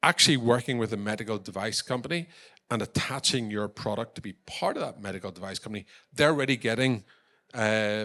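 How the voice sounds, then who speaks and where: Talking at a very fast pace, a man has a medium pitch, ordinary pitch variation and a bright, sharp tone. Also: very clean recording, silent background. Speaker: tech company founder and export champion. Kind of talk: conference presentation.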